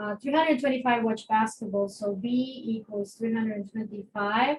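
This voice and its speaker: A woman speaks with a non-native accent at a fairly high pitch. Her voice is somewhat breathy, with fairly even intonation. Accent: non-native accent, noticeable. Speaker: math teacher. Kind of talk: lecture. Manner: conversational, with many fillers.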